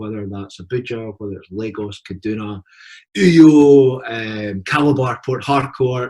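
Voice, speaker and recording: Speaking at a fairly slow pace with a Scottish accent, a man uses a medium pitch, ordinary pitch variation and a somewhat breathy sound. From Scotland. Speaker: university partnership representative. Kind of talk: presentation.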